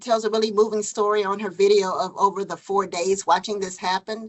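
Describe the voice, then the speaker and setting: Here a woman speaks at a fairly high pitch. She keeps a moderate pace. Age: 50s. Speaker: physician. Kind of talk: Q&A after a lecture. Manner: halting, many fillers.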